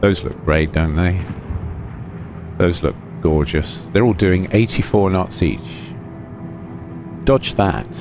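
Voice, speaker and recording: A man with a British accent speaks very slowly in a very deep, low voice, with lively intonation, long and frequent pauses, and noticeable background noise. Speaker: gaming commentator. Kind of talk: gameplay commentary. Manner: soft, soothing.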